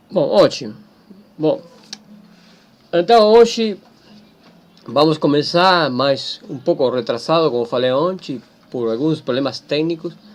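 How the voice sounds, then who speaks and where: With a Spanish accent, a man with a fairly high pitch and lively intonation speaks at a fairly slow pace, leaving long, frequent pauses. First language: Spanish (speaking Portuguese). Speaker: teacher. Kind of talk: lecture. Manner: halting.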